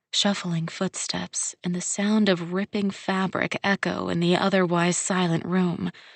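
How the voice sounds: The clip features a natural reading voice.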